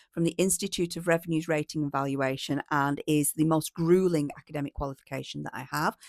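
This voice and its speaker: Talking at a very fast pace, a woman is heard in a very clean recording with a silent background and a dry, close sound free of echo. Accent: northern English. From northern England, East Lancashire. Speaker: policy consultant. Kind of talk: casual self-introduction to camera.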